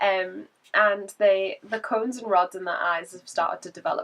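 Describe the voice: The voice has a fairly bright tone and fairly even intonation. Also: woman.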